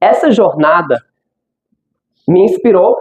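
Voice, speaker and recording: A man with an English accent at a moderate pace. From United States. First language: English (speaking Portuguese). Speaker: language school founder, speaker. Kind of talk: conference talk. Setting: stage with audience.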